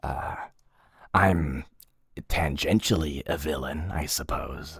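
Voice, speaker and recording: A man speaks in a put-on character voice, very deep and low, at a fairly slow pace with ordinary pitch variation. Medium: audio drama. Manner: hesitant, filler-heavy.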